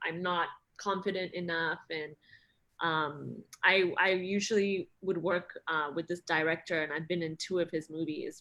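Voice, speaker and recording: A woman speaks at a fairly low pitch in a bright, sharp tone. Her intonation is monotone and flat. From Singapore. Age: 30s. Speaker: actress. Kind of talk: interview conversation.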